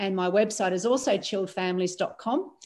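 A woman speaks in an unremarkable speaking voice, her pitch medium and varying in an ordinary way, her pace moderate. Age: 50s. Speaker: transformation coach. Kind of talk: casual chat.

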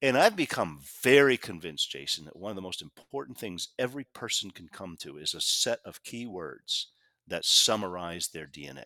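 The voice has a bright, sharp tone with very wide pitch swings at a moderate pace. The recording is very clean and dry, close with no echo, over a silent background. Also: man, fairly low pitch for a man. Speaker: author and communication consultant. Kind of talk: interview.

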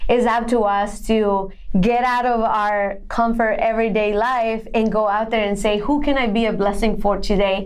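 A woman with a Spanish accent, fairly high-pitched and monotone with flat intonation, at a very even loudness with hardly any pauses. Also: moderate pace. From Colombia (Bogota). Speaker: women's empowerment entrepreneur. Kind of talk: interview. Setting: podcast.

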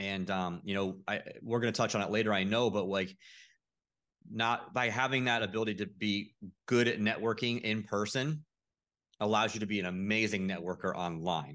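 A man with an American accent, a normal speaking voice, fairly low in pitch with ordinary pitch variation, at a moderate pace over a quiet background. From Florida, St. Petersburg. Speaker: real estate investor. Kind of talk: podcast interview. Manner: casual with frequent fillers.

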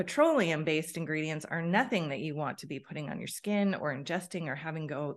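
A woman with an unremarkable speaking voice talks at a moderate pace. Her pitch is fairly low and varies in an ordinary way. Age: 50s. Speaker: wellness educator. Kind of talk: interview.

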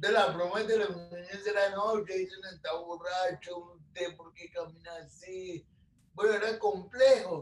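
At a fairly slow pace, a man with a high pitch keeps his intonation fairly even while his loudness swings widely. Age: 30s. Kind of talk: interview.

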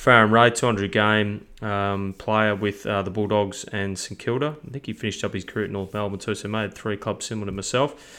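With an Australian accent, a man speaks at a fairly quick pace with hardly any pauses. His voice is fairly low in pitch, with a bright, sharp tone and fairly even intonation. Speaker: football coaching business founder and podcast host. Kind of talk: casual chat. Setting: remote call.

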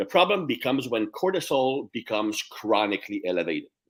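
With a French Canadian accent and vocal fry, a man talks at a fairly quick pace. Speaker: strength coach. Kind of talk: casual interview.

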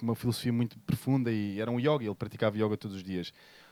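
Captured dry and close with no echo, a man talks at a very fast pace. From Portugal, Sintra. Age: 40s. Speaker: yoga teacher. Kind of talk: live podcast interview. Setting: stage with audience.

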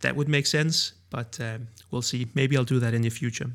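With a Danish accent, a man speaks at a moderate pace on a very clean recording with a silent background. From Denmark. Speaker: video creator and podcast host. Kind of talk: solo podcast monologue. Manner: hesitant, with frequent filler words.

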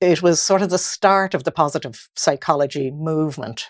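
Speaking fairly slowly with an Irish accent, a woman with a very deep, low pitch and ordinary pitch variation comes through in a very clean, silent-background recording that is dry and close, with no echo. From Ireland. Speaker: mindset coach. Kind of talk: casual chat.

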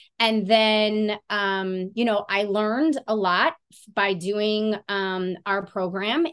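Her pace is very slow, yet this woman leaves hardly any pauses. Her voice sits at a medium pitch with ordinary variation. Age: 40s. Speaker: certified fitness and nutrition coach. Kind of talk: casual interview chat.

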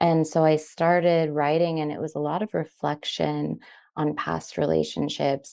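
A woman speaks at a fairly slow pace over a quiet background, her voice dry and close with no echo. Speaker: writer. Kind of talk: interview conversation. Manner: casual, friendly.

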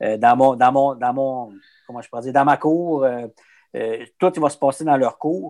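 In a Quebec accent, a man speaks at a fairly slow pace with a medium pitch and a dark, mellow tone. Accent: Québécois French. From Quebec, Abitibi. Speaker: business development rep for a meat producer. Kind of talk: casual interview. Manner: hesitant, many fillers and repetitions.

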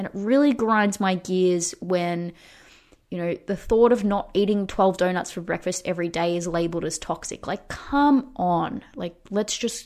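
Here is a normal speaking voice with ordinary pitch variation. The recording is very clean, with a silent background. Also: woman. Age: 30s. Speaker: fitness coach and podcast host. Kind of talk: casual solo podcast talk.

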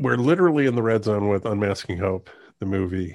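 A man with a fairly low voice talks on a very clean recording where the background is silent. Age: 50s. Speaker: documentary filmmaker. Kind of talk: casual interview.

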